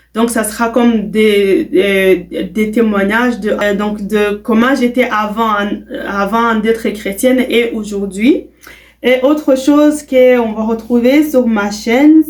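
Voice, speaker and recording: A woman's fairly high voice at a very slow pace. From Quebec, Canada (Burundian parents). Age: young. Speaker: vlogger. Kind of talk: casual self-introduction vlog. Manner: hesitant, many fillers.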